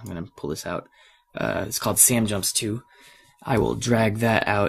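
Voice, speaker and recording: A man puts on a raspy character voice at a fairly low pitch, with ordinary pitch variation and a moderate pace. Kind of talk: casual tutorial narration.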